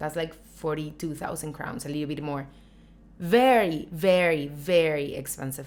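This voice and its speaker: Very deep, low female voice at a moderate pace, with big swings in loudness and audible room echo. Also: ordinary pitch variation. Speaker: YouTuber. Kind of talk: casual vlog talk.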